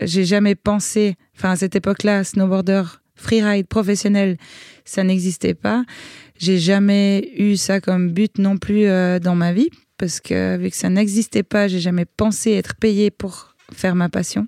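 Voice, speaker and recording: Fairly slow and monotone, a woman talks in a dark, mellow tone on a very clean recording with a silent background. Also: medium pitch for a woman. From Switzerland. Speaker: extreme sports athlete. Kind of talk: interview.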